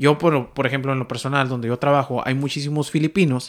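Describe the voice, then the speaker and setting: A man speaks in an ordinary speaking voice at a fairly high pitch and fairly quick pace. His intonation is fairly even, in a very clean recording with a silent background. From Mexico. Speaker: podcast host. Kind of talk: casual chat.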